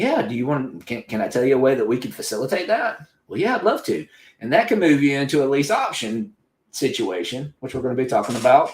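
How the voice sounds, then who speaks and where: Very wide pitch swings in a man's fairly high voice. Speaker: real estate investor. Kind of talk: interview. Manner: fast; animated.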